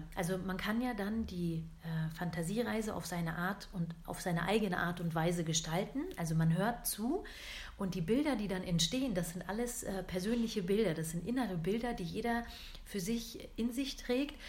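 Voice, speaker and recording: The speech moves at a moderate pace with a somewhat breathy quality. Pitch varies in an ordinary way, and room echo is audible. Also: woman, medium pitch for a woman. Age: 30s. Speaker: podcast host, coaching trainee. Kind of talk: casual monologue. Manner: hesitant, many filler sounds.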